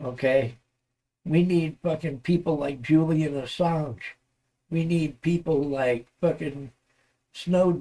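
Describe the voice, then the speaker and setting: A man with an American accent and fairly high pitch, dark and mellow in tone, at a very slow pace with long, frequent pauses and ordinary pitch variation. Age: 60s. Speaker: political ranter. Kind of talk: rant. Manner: animated, heavy swearing.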